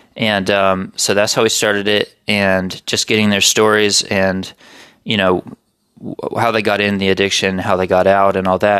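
In a very clean recording with a silent background, a man with a fairly low pitch and an ordinary speaking voice talks at a moderate pace. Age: 20s. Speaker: writer and podcaster. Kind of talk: casual chat. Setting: home recording with podcast mics.

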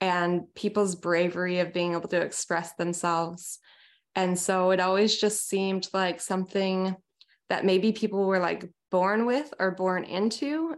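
In an unremarkable speaking voice, a woman talks with an American accent and a medium pitch. Her pace is fairly slow, her intonation fairly even, and the background quiet. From US Pacific Northwest, small town near Seattle. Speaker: singer-songwriter. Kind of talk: casual interview.

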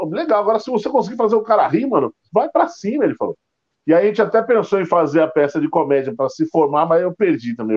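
His pace is very fast. The man's pitch swings up and down very widely. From Rio de Janeiro (Bangu). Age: 40s. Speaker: stand-up comedian. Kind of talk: casual chat. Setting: YouTube livestream.

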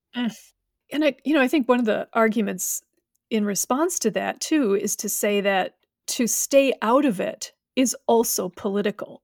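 A woman with a plain, everyday voice speaks at a moderate pace with fairly high pitch and lively intonation, on a very clean recording with a silent background and a dry, close sound with no echo. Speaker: podcast host and professor. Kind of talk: interview conversation.

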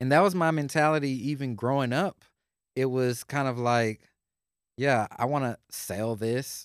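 A man speaks in an ordinary speaking voice with an American accent, at a medium pitch and a fairly slow pace. The recording is very clean and dry, with a silent background, a close sound and no echo. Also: ordinary pitch variation. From Houston, Texas. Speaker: podcast host. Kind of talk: casual interview chat.

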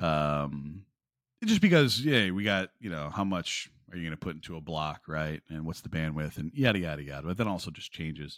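On a very clean recording with a silent background, a man speaks at a fairly quick pace in a very deep, low voice with ordinary pitch variation. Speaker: podcast host. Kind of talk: casual interview chat. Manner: chatty, relaxed.

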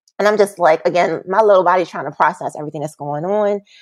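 An unremarkable speaking voice with ordinary pitch variation comes through dry and close with no echo, against a quiet background. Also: woman. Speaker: massage therapist and bodyworker. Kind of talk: casual interview chat. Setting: video call.

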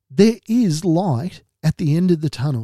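In an Australian accent, a man speaks fairly slowly in a fairly high, dark and mellow voice with lively intonation, the sound dry and close with no echo on a very clean recording with a silent background. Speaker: mental health podcast host. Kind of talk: monologue podcast talk.

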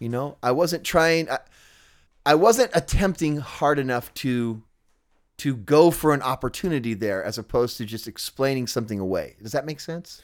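A man with an American accent speaks in a normal speaking voice, fairly high-pitched, at a moderate pace with lively intonation, in a very clean recording with a silent background. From Southern California. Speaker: punk musician and podcaster. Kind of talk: casual conversation.

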